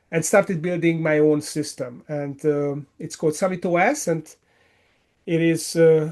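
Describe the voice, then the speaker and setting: A man is speaking. His pitch is high. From Hungary. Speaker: business coach. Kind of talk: interview answer.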